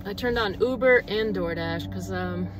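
The woman talks at a fairly quick pace. Noticeable background noise runs under her voice. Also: dry sound with no echo. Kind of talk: casual vlog chat. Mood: relaxed, easygoing. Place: car. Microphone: phone near.

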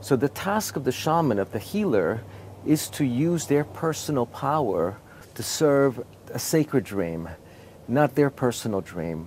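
A man's voice at a moderate pace with very wide pitch swings, dry and echo-free over light background noise. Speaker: interviewee, teacher. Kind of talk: interview answer. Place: open country.

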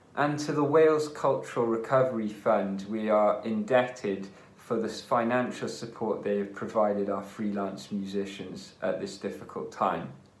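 There are hardly any pauses as a man speaks with ordinary pitch variation. Audible room echo fills the recording. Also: moderate pace. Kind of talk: concert introduction address. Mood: warm, friendly. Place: home room. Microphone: phone near.

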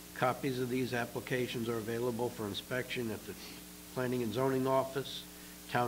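Over noticeable background noise, a man speaks at a moderate pace in a monotone with flat intonation. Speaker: planning commission member. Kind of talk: reading aloud. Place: meeting room. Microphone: podium.

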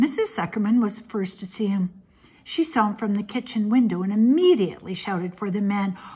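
The reading aloud is plain, and its pitch moves with ordinary variation.

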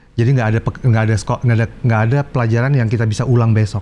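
Over light background noise, a man rattles on at a very fast pace in a dark, mellow tone with fairly even intonation. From Indonesia. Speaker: guitarist and guitar teacher; guitar teacher. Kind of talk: casual interview chat. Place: studio. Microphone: lapel.

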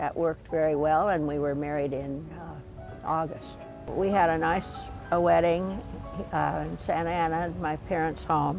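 A woman speaks at a fairly slow pace in a dry sound with no echo, with clear music in the background. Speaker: interviewee. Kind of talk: interview answer. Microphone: lapel.

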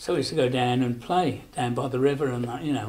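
A dark, mellow, somewhat breathy tone at a very fast pace. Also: man. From Rugeley, Staffordshire. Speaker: elderly local resident recalling childhood. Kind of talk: oral history interview answer. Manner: casual, reminiscing. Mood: fond, nostalgic.

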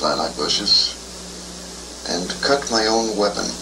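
This man talks at a fairly slow pace while noticeable background noise continues. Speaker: psychiatric patient being interviewed. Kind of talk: recorded clinical interview answer. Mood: calm, somewhat wry recounting. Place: studio. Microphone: old recording.

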